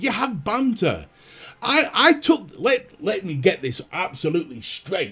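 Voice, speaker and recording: In a Lancashire accent, a man speaks at a moderate pace with very wide pitch swings. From northern England, Burnley, Lancashire. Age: 30s. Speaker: vaping YouTuber. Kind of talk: livestream chat. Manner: animated.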